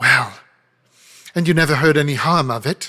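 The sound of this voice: A man's put-on character voice, raised and projected, shrill and raspy, fairly high in pitch, at a moderate pace with fairly even intonation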